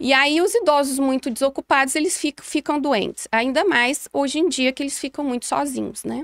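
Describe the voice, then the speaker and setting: The speech moves at a moderate pace against a quiet background, with a dry sound and no echo. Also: woman. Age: 40s. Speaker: gerontologist; guest. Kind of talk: interview. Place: studio. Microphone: studio mic.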